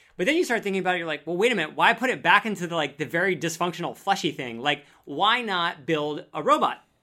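Against a silent background in a very clean recording, a man with a high pitch talks at a very fast pace with an animated tone, lively intonation and hardly any pauses. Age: 30s. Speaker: science content creator. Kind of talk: casual chat.

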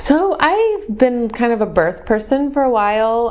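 Lively intonation from a woman with an American accent, noticeable background noise behind her. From Missouri. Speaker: urban planning consultant. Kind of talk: interview, telling her birth story. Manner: hesitant, many ums.

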